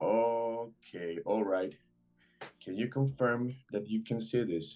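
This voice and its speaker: Over music in the background, a man with a Spanish accent speaks at a very slow pace. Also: medium pitch for a man, ordinary pitch variation. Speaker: trader. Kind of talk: live trading stream chat. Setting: video call. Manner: halting.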